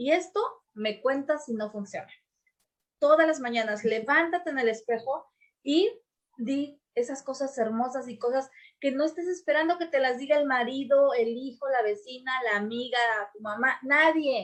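Loudness swings widely in this woman's high-pitched voice. Her pace is moderate and her pitch varies in an ordinary way. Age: 40s. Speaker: podcast host, business and personal development coach. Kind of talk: casual chat.

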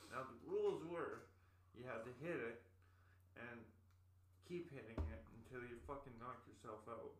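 Amid audible room echo, a somewhat breathy man talks at a moderate pace with long, frequent pauses. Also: medium pitch for a man, lively intonation. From Winnipeg, Canada. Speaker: podcast guest. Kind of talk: casual chat.

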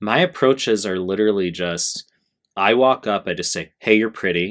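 A man speaks with an American accent in an unremarkable speaking voice at a moderate pace. The recording is very clean, with a silent background. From United States. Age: 30s. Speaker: YouTuber / dating coach. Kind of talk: improvised video monologue. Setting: at home recording at computer.

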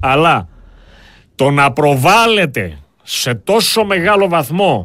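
In a very clean recording with a silent background, a man speaks with a high pitch. His intonation is lively. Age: 50s. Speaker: political commentator. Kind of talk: political talk show discussion. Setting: studio.

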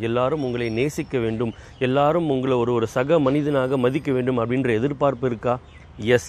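Through noticeable background noise, a man talks at a medium pitch with ordinary pitch variation. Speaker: motivational speaker. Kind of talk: motivational talk. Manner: conversational, colloquial.

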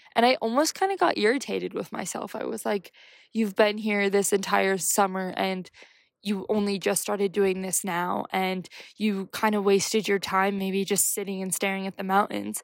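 A woman with an American accent speaks in a normal speaking voice at medium pitch and a moderate pace, on a very clean recording with a silent background. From United States. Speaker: podcast host, writer and wellness advocate. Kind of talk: solo casual talk. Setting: outdoors on a bench.

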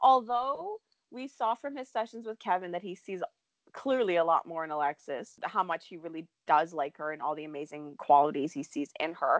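A woman talks at a fairly quick pace, her pitch swinging very widely. The sound is dry and close, with no echo. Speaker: soap opera podcast host. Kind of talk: casual chat.

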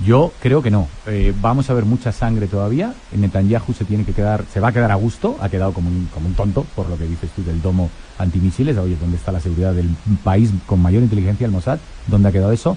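Music plays in the background. The speaker talks at a very fast pace with ordinary pitch variation. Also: man, fairly low pitch for a man. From Spain, Madrid. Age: 40s. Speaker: historian and newspaper editor. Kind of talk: radio interview.

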